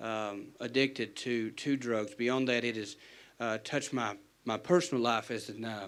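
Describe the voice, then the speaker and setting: A man speaks in an Appalachian accent at a moderate pace. His pitch is medium and his intonation fairly even. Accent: Appalachian American. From West Virginia, McDowell County. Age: 30s. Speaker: defense lawyer. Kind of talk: town hall question. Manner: halting, repeats words.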